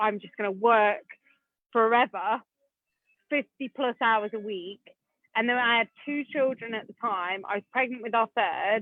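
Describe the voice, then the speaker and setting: Speaking in an English accent, a woman with a fairly high pitch and an animated tone keeps a moderate pace with long, frequent pauses. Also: ordinary pitch variation. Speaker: property investor. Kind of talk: podcast interview.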